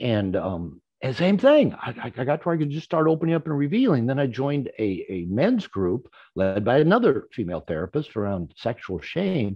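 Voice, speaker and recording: Using very wide pitch swings, a man with an American accent speaks at a fairly quick pace. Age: 60s. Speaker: therapist and author. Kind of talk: conference talk. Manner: halting, repeats words.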